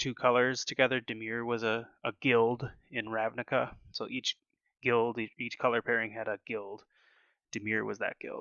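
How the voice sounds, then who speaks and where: Monotone, flat intonation from a man at medium pitch, delivered at a moderate pace. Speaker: gaming content creator. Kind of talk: tutorial. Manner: halting, many fillers.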